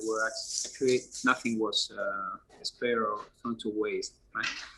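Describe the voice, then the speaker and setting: A man with a Spanish accent at a moderate pace, amid noticeable background noise. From Spain. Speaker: app founder. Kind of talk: interview. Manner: hesitant, many fillers.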